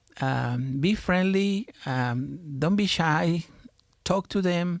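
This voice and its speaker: A man speaks with a strong Mexican accent. His pitch variation is ordinary. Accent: heavy Mexican Spanish. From Mexico. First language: Spanish. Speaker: pastor. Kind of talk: podcast interview. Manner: halting, many fillers.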